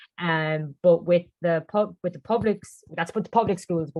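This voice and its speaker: A Cork accent, dry and close, with no echo. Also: woman. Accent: Cork Irish. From Ireland, Cork. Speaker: English teacher abroad. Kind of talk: panel Q&A webinar. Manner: fast.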